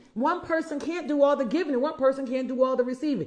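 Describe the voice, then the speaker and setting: Animated delivery at a fairly quick pace. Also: woman. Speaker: life coach. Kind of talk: motivational talk. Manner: fast.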